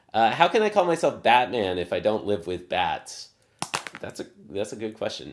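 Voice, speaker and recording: A man with a slight Southern US accent speaks at a fairly low pitch. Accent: slight Southern drawl. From US South. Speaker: math practice streamer. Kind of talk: live stream casual teaching. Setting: live stream. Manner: slow, drawling; filler-heavy, halting.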